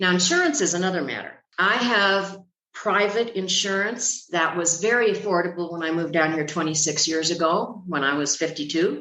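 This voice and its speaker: Audible room echo surrounds a woman speaking at a moderate pace. Her pitch is fairly low, with ordinary pitch variation. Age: 70s. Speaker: retired expat. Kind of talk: podcast interview.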